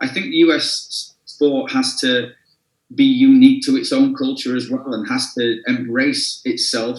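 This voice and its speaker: A man with an English accent and a fairly high pitch speaks at a fairly slow pace, his pitch swinging very widely. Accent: English accent, some. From northern England, Sheffield. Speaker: soccer coach and club executive. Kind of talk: interview. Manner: repetitive, halting with fillers.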